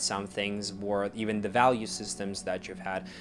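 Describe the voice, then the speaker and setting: Over music in the background, a man talks with monotone, flat intonation. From Russia. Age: 20s. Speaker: actor and music artist. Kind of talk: casual self-interview monologue.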